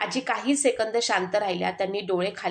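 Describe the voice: What is heard is plain reading aloud.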